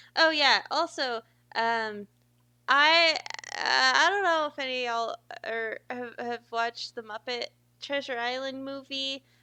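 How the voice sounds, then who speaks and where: Her tone bright and sharp, a woman speaks at a fairly slow pace with lively intonation. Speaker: streamer reading books aloud. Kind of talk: casual chat before reading aloud. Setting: live stream. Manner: stumbles over words.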